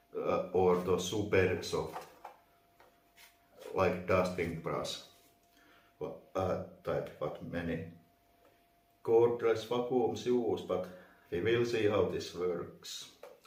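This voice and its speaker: Speaking very slowly with long, frequent pauses, a man with a non-native accent is heard over noticeable background noise and audible room echo. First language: not English. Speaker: vacuum reviewer. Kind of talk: unboxing tutorial. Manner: halting, many fillers.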